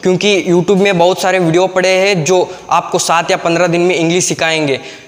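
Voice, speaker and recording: A man's high-pitched, monotone, flat delivery at a moderate pace, with very even loudness and noticeable background noise. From Karnataka, India. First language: Kannada (speaking Hindi). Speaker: YouTube English teacher. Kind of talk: tutorial. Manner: halting, many fillers.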